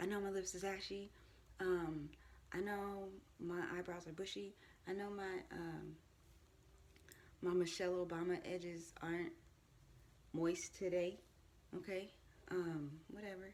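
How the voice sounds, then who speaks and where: The speaker talks at a fairly slow pace in a flat monotone, with long, frequent pauses and audible room echo. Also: woman, medium pitch for a woman. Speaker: vlogger. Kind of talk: casual monologue. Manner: casual, hesitant with many ums.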